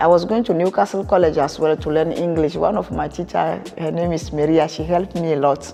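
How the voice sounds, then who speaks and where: Over noticeable background noise, a woman with a very deep, low pitch talks at a fairly quick pace with hardly any pauses and ordinary pitch variation. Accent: French. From Togo, West Africa. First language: French. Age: 50s. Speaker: charity founder. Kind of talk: interview. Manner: halting.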